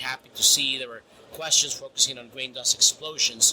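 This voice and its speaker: With a Spanish accent, a man talks at a moderate pace in a fairly high pitch. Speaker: grain storage specialist. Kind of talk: interview. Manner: halting, many repetitions.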